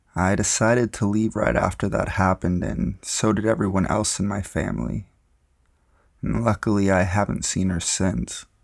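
A man's normal speaking voice, fairly low in pitch, at a moderate pace with ordinary pitch variation and very even loudness, on a very clean recording with a silent background. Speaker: narrator of true scary stories.

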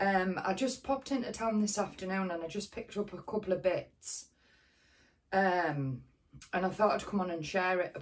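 A woman's raspy, put-on character voice at a medium pitch, with ordinary pitch variation and a moderate pace. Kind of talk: casual vlog chat.

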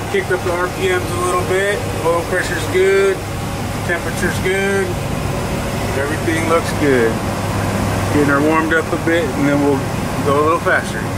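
Over loud background noise, a man talks at a fairly quick pace with ordinary pitch variation and a dry sound with no echo. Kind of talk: casual vlog chat. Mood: relaxed, casual. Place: boat. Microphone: phone near.

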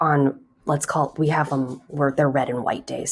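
This woman talks with fairly even intonation. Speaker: high school Spanish teacher. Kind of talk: casual tutorial chat. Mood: slightly stressed, explaining. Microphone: webcam.

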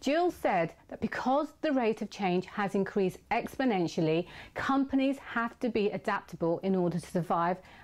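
Here a woman with an ordinary speaking voice talks at a moderate pace and medium pitch, her intonation lively. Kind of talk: video intro summary.

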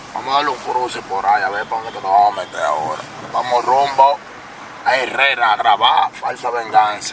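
Over noticeable background noise, a man with a Dominican accent talks at a fairly quick pace. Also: dry sound with no echo. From Dominican Republic. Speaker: vlogger and rapper; vlogger. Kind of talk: casual vlog. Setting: in a car. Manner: animated. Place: car. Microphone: camera far.

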